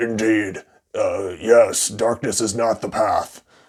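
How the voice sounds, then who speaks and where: A man's raspy, put-on character voice at a medium pitch and a fairly slow pace. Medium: solo performance.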